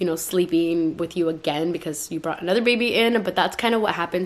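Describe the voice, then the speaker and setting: A woman with an animated tone, medium in pitch, with ordinary pitch variation. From California (Stockton), Mexican-American. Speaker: YouTuber, mom vlogger. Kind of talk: casual vlog haul. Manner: fast.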